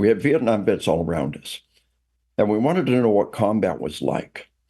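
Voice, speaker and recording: A man speaks at medium pitch with a dark, mellow tone. His pitch swings very widely at a moderate pace. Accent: American. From US South. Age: 60s. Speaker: retired army officer and trainer. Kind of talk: interview. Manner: many fillers and repetitions.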